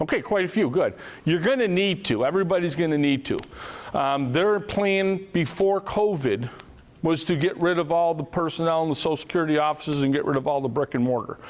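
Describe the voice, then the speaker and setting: A man with a high pitch talks at a fairly quick pace, his loudness very even and his pitch variation ordinary. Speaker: financial advisor. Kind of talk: seminar presentation. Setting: room with live audience. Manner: fast.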